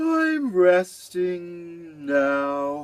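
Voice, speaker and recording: Using a put-on character voice, a man speaks at a high pitch with ordinary pitch variation. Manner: sleepy.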